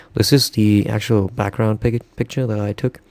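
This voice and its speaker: The speaker is a man. He has a non-native accent. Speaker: illustrator, digital artist. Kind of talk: tutorial. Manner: halting, many fillers.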